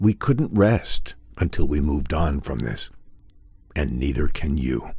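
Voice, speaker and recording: A man doing a put-on character voice, pitched very deep and low, at a rather unhurried pace. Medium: video game. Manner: calm, measured.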